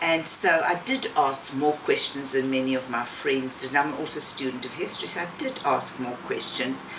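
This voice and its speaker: A woman with a very deep, low pitch talks with fairly even intonation and hardly any pauses. Audible room echo and noticeable background noise fill the recording. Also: moderate pace. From South Africa, rural Eastern Cape. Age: 70s. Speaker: interviewee, emigrant grandmother. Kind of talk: interview.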